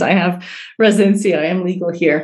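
A woman with an unremarkable speaking voice talks at a moderate pace, her pitch fairly low. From New York City (Queens), born in Iran. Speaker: cultural intelligence specialist. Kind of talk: interview.

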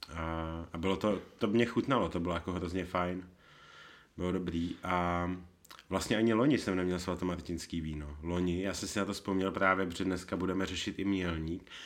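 Very deep and low in pitch, a man speaks with fairly even intonation. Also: moderate pace. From Bohemia, Czech Republic. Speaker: wine podcast host. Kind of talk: casual chat.

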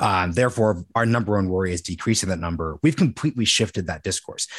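A man speaking at a very fast pace against a quiet background. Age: 20s. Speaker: podcast host. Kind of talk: interview. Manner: rambling, halting.

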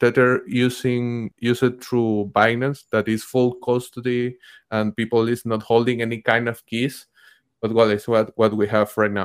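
A man speaks in a monotone, flat way with a Spanish accent. The sound is dry and close, with no echo. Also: medium pitch for a man, moderate pace. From Venezuela. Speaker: journalist and bitcoin educator. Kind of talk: casual chat. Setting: video call.

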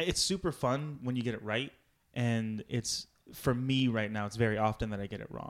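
An unremarkable speaking voice from a man with an American accent, medium in pitch with ordinary variation, at a moderate pace on a very clean recording with a silent background. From Virginia, US. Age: 20s. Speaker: improv comedian. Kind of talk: casual interview chat.

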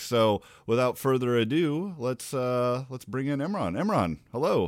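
With an American accent, a man has an unremarkable speaking voice and a fairly slow pace. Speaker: podcast host. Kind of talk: casual conversation.

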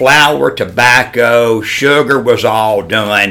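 A man with a medium pitch talks with a Southern US accent. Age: 60s. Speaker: hat maker. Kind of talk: casual chat.

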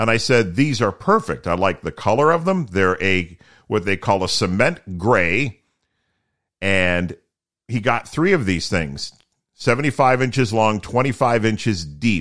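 Fairly low and resonant, a man speaks at a fairly slow pace with lively intonation. The recording is very clean and the background silent. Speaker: podcast host with low vision, former broadcaster. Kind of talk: solo podcast monologue. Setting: home studio. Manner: casual, conversational.

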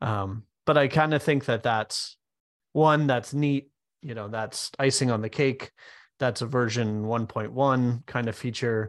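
This is an unremarkable speaking voice from a man of medium pitch. He talks at a fairly slow pace over a quiet background. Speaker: software developer and co-host. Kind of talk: casual business discussion.

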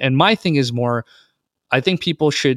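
A man speaks at medium pitch with a normal speaking voice and ordinary pitch variation. His fairly quick delivery sounds dry and close, with no echo. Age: 30s. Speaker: investor and podcast host. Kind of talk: interview.

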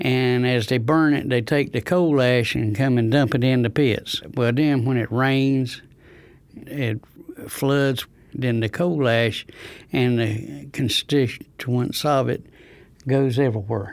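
In an eastern North Carolina accent, a man speaks very slowly with fairly even intonation and very even loudness. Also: medium pitch for a man. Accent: eastern North Carolina Southern. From North Carolina, Rosewood near Goldsboro. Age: 70s. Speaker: retiree affected by water contamination. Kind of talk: first-person testimony.

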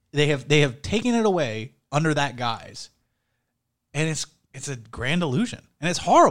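A man talks at a moderate pace in a normal speaking voice. His pitch is fairly high and his intonation lively. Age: 30s. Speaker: podcast co-host. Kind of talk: casual chat.

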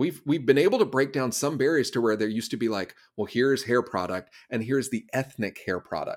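An ordinary speaking voice talks at a fairly quick pace with an American accent and ordinary pitch variation. The recording is very clean, with a silent background. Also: man, medium pitch for a man. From US Southeast. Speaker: speaker and consultant. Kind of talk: interview conversation.

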